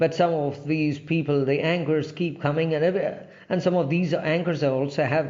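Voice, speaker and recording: A man with an Indian accent, fairly high pitch and fairly even intonation, at a moderate pace amid audible room echo. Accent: Indian English (Telugu). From India, Andhra Pradesh. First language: Telugu. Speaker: English language trainer. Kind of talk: informal talk to camera. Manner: halting, many fillers.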